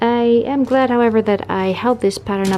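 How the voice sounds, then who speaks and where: With music in the background, the speaker has a non-native accent and ordinary pitch variation. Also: woman. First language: not English. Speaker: sewing vlogger. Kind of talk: casual vlog narration.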